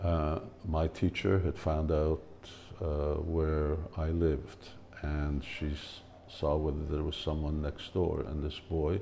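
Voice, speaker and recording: A man with a Hungarian accent speaks very slowly in a very deep, low pitch, with a dark, mellow tone. His intonation is monotone and flat, and his voice is somewhat breathy. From Hungary, then Canada from age seven. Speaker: spiritual teacher. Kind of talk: personal storytelling talk. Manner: hesitant, many fillers.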